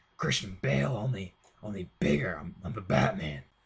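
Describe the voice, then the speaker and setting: Putting on a character voice, a man speaks in a raspy, very deep, low pitch at a moderate pace with lively intonation. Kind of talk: comic parody. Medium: voice reel. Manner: rambling, casual, full of filler words.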